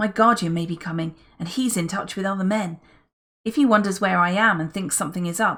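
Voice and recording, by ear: Someone reads aloud in a natural voice, with ordinary pitch variation and a quiet background.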